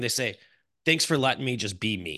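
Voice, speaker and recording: Over a quiet background, a man speaks at a fairly quick pace. His tone is animated, bright and sharp. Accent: American. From US Midwest, Chicago. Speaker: podcast host, real estate marketer. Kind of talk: casual interview chat.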